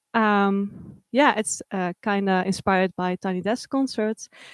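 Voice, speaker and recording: On a very clean recording with a silent background and a dry, close sound with no echo, a woman speaks at a fairly slow pace in a medium-pitched voice with fairly even intonation. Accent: Dutch. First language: Dutch. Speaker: livestream host. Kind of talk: event hosting. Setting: art supply shop livestream.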